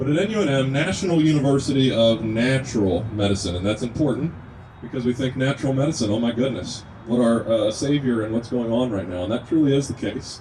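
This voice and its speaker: Noticeable background noise accompanies delivery at a fairly quick pace. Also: man. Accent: slight Kentucky. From Kentucky. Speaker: natural medicine student and activist speaker. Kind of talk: speech at an outdoor rally. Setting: outdoors at a rest stop with a crowd.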